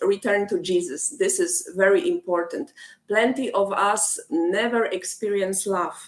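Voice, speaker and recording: A woman with a Polish accent and very wide pitch swings. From Poland. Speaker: rock band lead singer. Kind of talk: interview.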